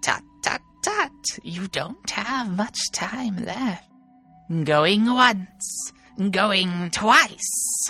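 Faint music plays in the background as a put-on character voice, fairly high in pitch, speaks very slowly. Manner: sly, bargaining.

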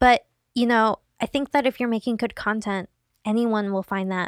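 The tone is animated and the pace moderate. The recording is very clean with a silent background, and the sound is dry and close with no echo. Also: woman. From Seattle, US Pacific Northwest. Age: 20s. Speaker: digital video creator. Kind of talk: casual chat. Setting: studio.

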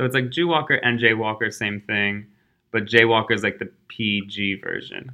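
Someone with an American accent speaks at a fairly quick pace. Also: man. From suburban Philadelphia. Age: 20s. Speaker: illustrator and tech worker. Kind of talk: casual interview. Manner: animated.

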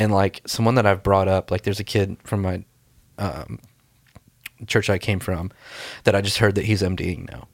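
A man with an American accent at a fairly low pitch and moderate pace, with long, frequent pauses, in a very clean recording with a silent background and a dry, close sound with no echo. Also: fairly even intonation. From US South, Mobile, Alabama. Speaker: creative pastor and church musician. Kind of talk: casual chat.

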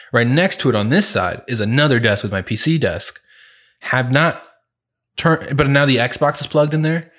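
A normal speaking voice moves at a moderate pace with ordinary pitch variation. The recording is very clean, with a silent background. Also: man, fairly high pitch for a man. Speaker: podcast co-host. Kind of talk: casual chat.

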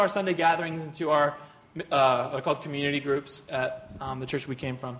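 Speaking fairly fast, a man is heard. Clear background noise runs behind him. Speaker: co-teacher at a church. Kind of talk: sermon.

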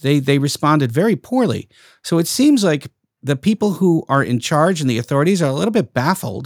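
On a very clean recording with a silent background and a dry, close sound with no echo, a man with a slight Brooklyn accent and a fairly high pitch talks at a fairly quick pace, his pitch swinging very widely. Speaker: podcast host. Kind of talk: interview.

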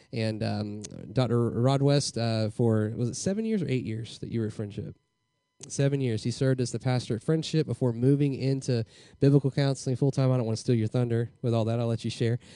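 Against a quiet background, a man with a Southern US accent speaks at a fairly quick pace in a dark, mellow tone of medium pitch. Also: fairly even intonation. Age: young. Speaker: pastor. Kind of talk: speaker introduction. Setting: church. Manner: halting.

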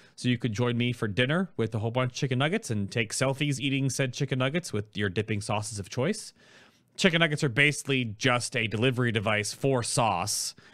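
With medium pitch and ordinary pitch variation, a man talks at a fairly quick pace. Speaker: gaming YouTuber and streamer. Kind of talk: casual chat. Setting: video call. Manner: animated.

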